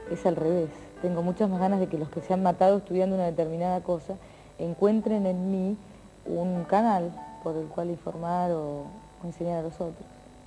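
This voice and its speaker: A woman at a fairly low pitch, monotone and flat, at a moderate pace over faint background music. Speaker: TV presenter. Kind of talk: interview answer. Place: studio.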